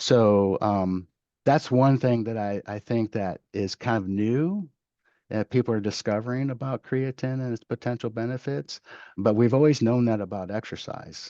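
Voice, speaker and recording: Moderately paced speech from a man, the sound dry and close with no echo. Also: medium pitch for a man, ordinary pitch variation. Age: 50s. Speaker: professor and exercise science researcher. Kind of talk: podcast interview. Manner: hesitant, many fillers.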